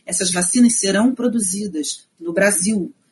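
The speaker is female. Her voice sits at a medium pitch. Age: 50s. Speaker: historian and researcher. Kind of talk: interview, explaining history.

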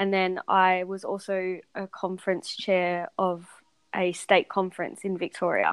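A woman's monotone, flat delivery at a fairly slow pace, dry and close with no echo, on a very clean recording with a silent background. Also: medium pitch for a woman. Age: 30s. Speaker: podcast guest sharing weight-loss story. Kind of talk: interview.

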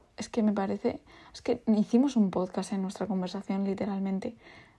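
A woman's medium-pitched, somewhat breathy voice with a dark, mellow tone and fairly even intonation, in a very clean recording with a silent background. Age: 20s. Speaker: podcast host, teacher. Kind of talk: casual monologue.

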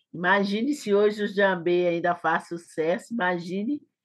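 This is a woman speaking. Her pace is very slow. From Brazil, Belo Horizonte (Minas Gerais). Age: 50s. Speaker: choreographer and dancer. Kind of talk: interview.

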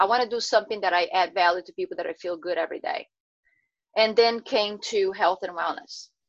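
This woman has a medium-pitched voice with ordinary pitch variation. She talks at a fairly quick pace. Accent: Portuguese. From Brazil. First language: Portuguese. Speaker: health and wellness coach. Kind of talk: interview. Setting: video call.

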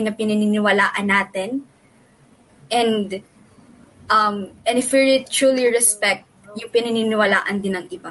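Very slowly, a woman speaks in a fairly high pitch. Her intonation is fairly even. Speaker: returned missionary. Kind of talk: casual chat.

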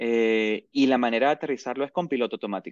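His speech moves at a fairly quick pace. The man shows ordinary pitch variation. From Venezuela, Maracaibo. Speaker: airline pilot. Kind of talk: interview.

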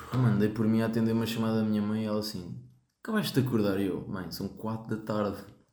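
A man with a fairly low voice speaks very fast in a monotone, flat way. Room echo is audible. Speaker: podcast host. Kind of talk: casual chat.

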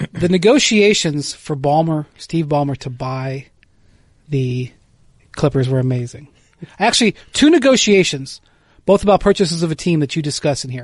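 Pausing long and often, a man speaks in a somewhat breathy, fairly high-pitched voice. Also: lively intonation, moderate pace. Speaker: sports podcast host. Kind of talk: casual chat.

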